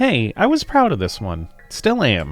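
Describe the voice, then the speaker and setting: This man talks in a put-on character voice. His pace is moderate. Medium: game stream.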